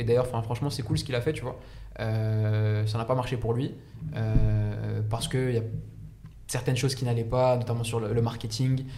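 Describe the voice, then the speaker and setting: At a moderate pace, a man of medium pitch speaks in a monotone, flat intonation with long, frequent pauses. Noticeable background noise and audible room echo surround him. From France, Saint-Denis (93), Egyptian heritage. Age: 20s. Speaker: engineer and startup founder. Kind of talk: casual chat. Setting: live stream. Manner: talkative.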